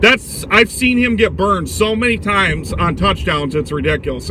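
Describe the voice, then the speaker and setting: Over noticeable background noise, a man talks at a fairly quick pace. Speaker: sports vlogger. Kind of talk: casual commentary monologue. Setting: in a car. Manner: loud.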